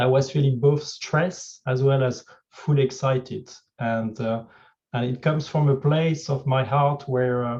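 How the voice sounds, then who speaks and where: The speech comes at a fairly slow pace in a French accent. The voice is somewhat breathy, with fairly even intonation. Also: man, medium pitch for a man. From France. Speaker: executive coach. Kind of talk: fireside chat talk. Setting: video call.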